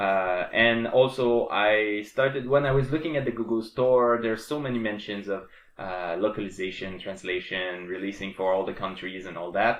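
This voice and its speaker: A man speaks with hardly any pauses, in a French Canadian accent. His pitch is fairly low. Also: ordinary pitch variation, moderate pace. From Quebec. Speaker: programmer and game developer. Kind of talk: casual tutorial / dev vlog. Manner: halting, many fillers and restarts.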